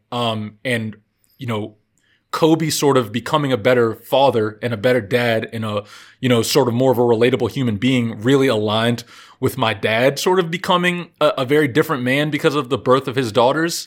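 Speaking at a fairly quick pace with an American accent, a man uses an ordinary speaking voice at medium pitch with ordinary variation, on a very clean recording with a silent background. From Virginia. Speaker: basketball podcast host. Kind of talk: casual chat.

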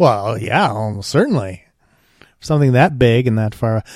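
A man talks at a moderate pace in a normal speaking voice. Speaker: podcast host. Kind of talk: casual chat.

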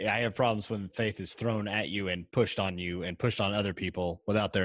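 Recorded dry and close with no echo against a silent background, a man with an American accent and a plain, everyday voice talks at a fairly quick pace, fairly low in pitch with ordinary pitch variation. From US South, Tennessee. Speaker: podcaster. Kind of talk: casual chat.

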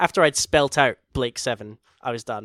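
A man speaks in a Scottish accent in a very clean recording with a silent background and a dry, close sound with no echo. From Scotland. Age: 30s. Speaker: podcast host. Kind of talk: casual chat.

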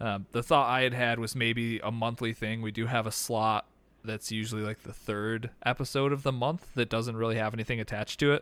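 In a very clean recording with a silent background, a man with an unremarkable speaking voice talks at medium pitch and a fairly quick pace, his intonation fairly even. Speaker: podcast host. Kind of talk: casual chat.

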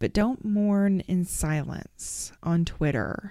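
A woman's dark, mellow voice with a Southern US accent at a very slow pace, very clean recording, silent background. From Arkansas. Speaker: podcast host. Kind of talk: interview conversation.

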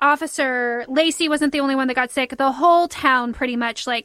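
Speaking at a moderate pace, a woman with a high pitch keeps a fairly even intonation. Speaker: podcast host. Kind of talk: casual storytelling chat.

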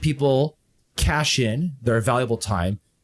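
A man speaks at a medium pitch with lively intonation and a somewhat breathy quality. The recording is very clean, with a silent background. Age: 30s. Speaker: fitness streamer. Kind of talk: casual chat.

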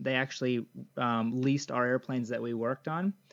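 Against a quiet background, a man with an American accent uses a plain, everyday voice at medium pitch and fairly even intonation. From United States. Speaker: missionary bush pilot. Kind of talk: interview.

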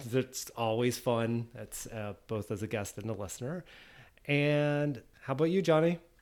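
A man talks in a plain, everyday voice at a medium pitch. His pace is fairly slow and his intonation lively. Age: 40s. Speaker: podcast host. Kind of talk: casual chat.

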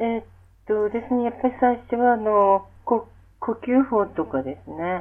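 A woman talks at a fairly slow pace with lively intonation. Hers is an unremarkable speaking voice, fairly high in pitch. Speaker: music therapist. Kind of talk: interview. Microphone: poor audio quality.

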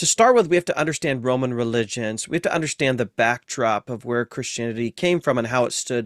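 Speaking with an American accent, a man uses a medium pitch and ordinary pitch variation. The very clean recording has a silent background and a dry, close sound with no echo. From US Midwest, Ohio. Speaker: professor of New Testament. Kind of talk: interview conversation.

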